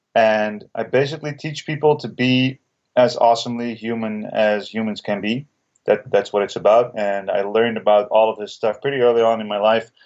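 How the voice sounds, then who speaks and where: Speaking at a moderate pace with a Dutch accent, a man keeps a medium pitch and fairly even intonation. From Netherlands. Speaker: breathwork teacher and author. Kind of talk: podcast interview.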